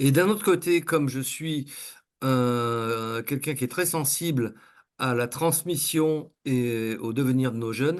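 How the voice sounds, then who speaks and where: A man at medium pitch with ordinary pitch variation, speaking at a very slow pace against a quiet background. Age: 60s. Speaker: coach and trainer. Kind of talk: interview. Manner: halting, many fillers.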